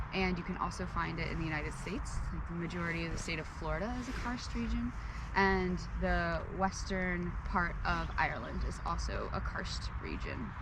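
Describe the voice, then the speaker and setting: A woman talks at a moderate speed, her voice carrying audible room echo over noticeable background noise. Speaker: student presenter. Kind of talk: educational vlog presentation. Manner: casual with fillers.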